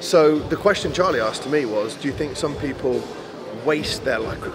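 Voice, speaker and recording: A man talks with ordinary pitch variation. Music plays clearly in the background. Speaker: bodybuilding coach. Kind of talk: interview answer. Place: gym.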